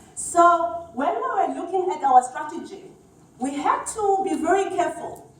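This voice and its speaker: With a Zulu accent and lively intonation, a woman speaks at an extremely high pitch amid audible room echo. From South Africa. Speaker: HR executive. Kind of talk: conference talk.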